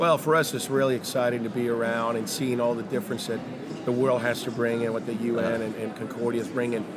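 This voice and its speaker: Speaking at a very fast pace over noticeable background noise, a man uses medium pitch and fairly even intonation. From Mexico City. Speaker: company founder and CEO. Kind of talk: interview.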